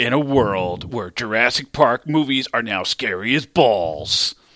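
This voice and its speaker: A man puts on a character voice at medium pitch, speaking at a fairly slow pace with lively intonation. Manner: dramatic.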